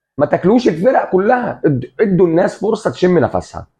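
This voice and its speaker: A man with an Egyptian accent talks at a fairly quick pace in a high pitch, his tone animated and his intonation lively. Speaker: football commentator, café owner persona. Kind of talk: casual sports commentary monologue.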